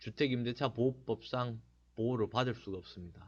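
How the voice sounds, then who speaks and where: A man with a strong Gyeongsang accent speaks at a medium pitch against a quiet background. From Gyeongsang region, Korea. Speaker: real estate agent, blogger. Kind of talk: informational talk. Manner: casual, with many fillers.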